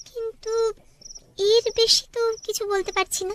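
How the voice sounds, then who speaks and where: Putting on a squeaky character voice at an extremely high pitch, a woman speaks at a moderate pace with fairly even intonation, in a dry, close sound with no echo. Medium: cartoon. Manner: polished, composed.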